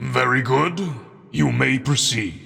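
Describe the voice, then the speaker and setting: Putting on a character voice at medium pitch, a man speaks with audible echo around him. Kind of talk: ceremonial oration. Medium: read story. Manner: formal, measured, authoritative.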